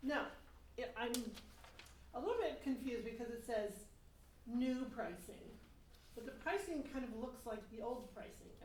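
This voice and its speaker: In a room with audible echo, a woman speaks loudly at a moderate pace, her high voice showing ordinary pitch variation, with long, frequent pauses. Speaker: resident giving public comment. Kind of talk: public comment at a town board meeting. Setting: town board meeting room, seated at table mic.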